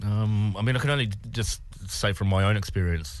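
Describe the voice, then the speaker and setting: A man with a New Zealand accent talks with ordinary pitch variation. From New Zealand, Wellington. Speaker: comedian and actor. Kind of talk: personal testimony in radio interview. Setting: radio studio.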